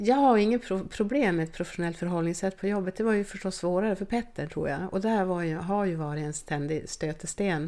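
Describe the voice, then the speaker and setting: A woman talks at a fairly quick pace with hardly any pauses. Her dark, mellow tone sits at a medium pitch with ordinary pitch variation. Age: 50s. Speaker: team doctor. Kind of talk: interview.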